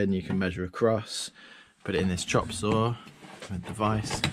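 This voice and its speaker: Light background noise sits behind a man speaking at a moderate pace. His intonation stays fairly even. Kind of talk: casual workshop tour commentary. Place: workshop. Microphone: phone near.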